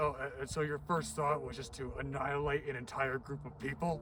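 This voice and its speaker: A raspy, put-on character voice from a man, fairly high in pitch and at a fairly quick pace, over clear background noise. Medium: audio drama.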